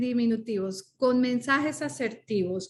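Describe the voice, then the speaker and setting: A woman talks at a high pitch. The background is quiet. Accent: Spanish. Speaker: coach and speaker. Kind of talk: podcast interview. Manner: animated.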